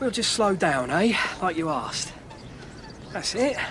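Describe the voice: A man uses a put-on character voice, high and fairly bright in tone, with big pitch swings. He goes at a slow pace, with faint background noise.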